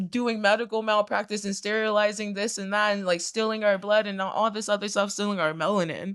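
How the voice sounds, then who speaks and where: The speaker has an American accent and talks at a fairly quick pace. Noticeable background noise runs underneath. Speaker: reaction channel co-host. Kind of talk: casual chat. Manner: animated.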